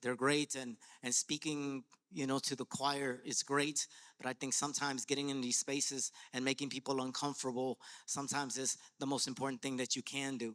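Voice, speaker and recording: A man with a Spanish accent speaks at a fairly quick pace in a fairly high pitch, his tone bright and sharp, his intonation monotone and flat, and the sound dry and close with no echo. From Latin America, immigrant to US. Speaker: educator and artist. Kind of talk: panel discussion. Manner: rhythmic, passionate; halting, repeats words.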